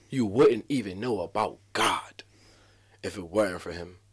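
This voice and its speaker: A man speaks in an American accent with ordinary pitch variation. The recording is very clean, with a silent background. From Atlantic City, New Jersey, US. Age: 20s. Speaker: community speaker. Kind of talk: casual chat.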